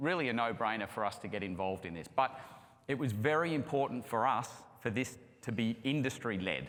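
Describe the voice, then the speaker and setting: With an Australian accent, a man talks at a moderate pace with lively intonation, and the room echo is audible. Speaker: construction project management executive. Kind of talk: conference presentation. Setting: stage with audience.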